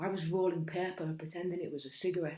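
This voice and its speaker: A woman with a fairly low pitch, a flat, monotone intonation and a Cumbrian accent. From Cumbria, England. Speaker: spoken word poet. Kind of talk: spoken word poetry performance.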